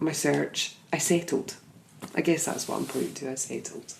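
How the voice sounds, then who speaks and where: A woman with a Scottish accent, at a moderate pace. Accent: Scottish lilt. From Scotland. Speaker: podcast host and life coach. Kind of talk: casual podcast conversation.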